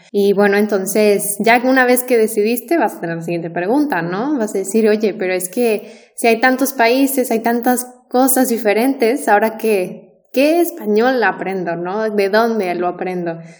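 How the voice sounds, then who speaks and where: Over noticeable background noise, a woman talks at a moderate pace with a fairly high pitch and ordinary pitch variation. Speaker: Spanish teacher. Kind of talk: casual chat. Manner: clear.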